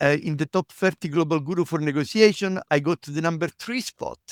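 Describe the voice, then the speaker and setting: In a very clean recording with a silent background, the words come at a moderate pace. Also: man, dry, close sound with no echo. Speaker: negotiation professor. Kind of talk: interview.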